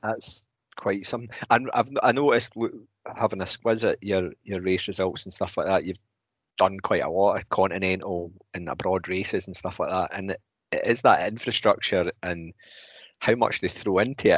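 A man's fairly low voice with fairly even intonation at a moderate pace, on a very clean recording with a silent background and a dry, close sound with no echo. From Scotland. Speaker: podcast co-host. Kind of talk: casual interview chat.

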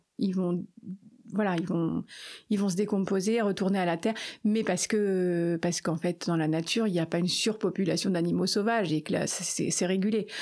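An unremarkable speaking voice from a woman at medium pitch, with fairly even intonation, very even loudness and a very clean recording over a silent background. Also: moderate pace. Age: 50s. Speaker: animal sanctuary founder. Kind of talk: interview.

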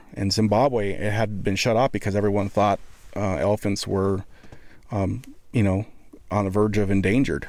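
A man with an American accent speaks in a plain, everyday voice at a fairly low pitch and moderate pace. The recording is very clean, with a silent background. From Montana. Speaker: photographer and videographer. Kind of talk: casual chat. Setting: studio.

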